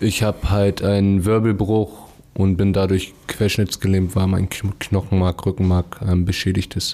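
Fairly slow, fairly low-pitched speech from a man amid noticeable background noise. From Hamburg, Germany. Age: 20s. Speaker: paraplegic accident survivor. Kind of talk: casual chat.

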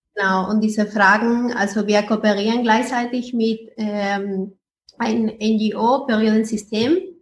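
Speaking very slowly with a non-native accent, a woman has a fairly high, somewhat breathy voice and a monotone, flat intonation. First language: not German (speaking German). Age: 20s. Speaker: startup founder. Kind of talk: interview.

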